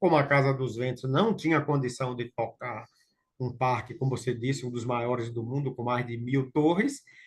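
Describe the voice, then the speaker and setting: The man's voice sounds somewhat breathy. His pace is moderate. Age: 60s. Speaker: local participant in technical talk. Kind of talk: Q&A discussion.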